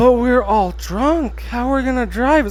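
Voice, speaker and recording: Putting on a character voice, a man speaks at a moderate pace in an extremely high pitch. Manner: soft and slow.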